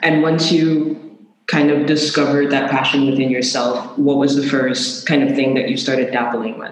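In a room with audible echo, a man speaks at a fairly high pitch with fairly even intonation. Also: moderate pace. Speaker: podcast host. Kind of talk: interview.

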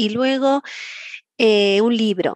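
A woman speaks with ordinary pitch variation. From Galicia, Santiago de Compostela. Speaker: director of a senior education association. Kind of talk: interview.

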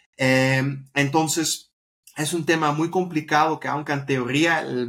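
A man's voice with a Dutch accent and ordinary pitch variation. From Netherlands. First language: Dutch (speaking Spanish). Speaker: startup co-founder. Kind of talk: interview. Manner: halting.

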